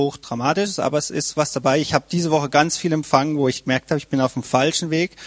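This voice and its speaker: In an ordinary speaking voice, a man talks at a fairly quick pace with fairly even intonation, in a dry, close sound with no echo. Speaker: church member. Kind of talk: testimony.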